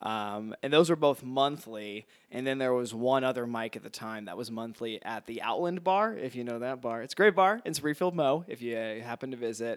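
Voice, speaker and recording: With an American accent, a man speaks in an unremarkable speaking voice at medium pitch and a moderate pace, with ordinary pitch variation, hardly any pauses and big swings in loudness, on a very clean recording with a silent background. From Missouri. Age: 20s. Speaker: comedian. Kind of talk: casual chat.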